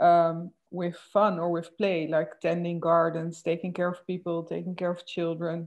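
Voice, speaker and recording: A woman with a Dutch accent speaks at a fairly low pitch and a fairly slow pace, her intonation monotone and flat. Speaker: moderator. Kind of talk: interview conversation. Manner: halting.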